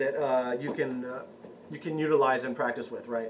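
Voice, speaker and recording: Amid audible room echo and noticeable background noise, a man rattles along at a very fast pace. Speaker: occult vlogger. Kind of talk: casual vlog talk. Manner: halting, many fillers and restarts.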